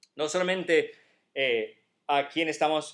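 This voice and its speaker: A man with an American accent speaks very slowly at a fairly high pitch. His intonation is fairly even, and the recording is very clean with a silent background. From United States. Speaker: pastor. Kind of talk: sermon.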